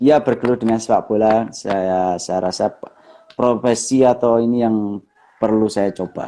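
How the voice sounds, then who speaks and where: A man's medium-pitched, dark, mellow voice in a strong Javanese accent, at a fairly slow pace with fairly even intonation. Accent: thick Javanese. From East Java, Bojonegoro. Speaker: professional footballer. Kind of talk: interview.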